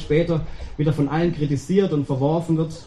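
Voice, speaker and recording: Over noticeable background noise, the voice races along at a very fast pace with fairly even intonation. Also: man. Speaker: preacher. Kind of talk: sermon. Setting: church. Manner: warm, conversational, addresses congregation directly with rhetorical questions.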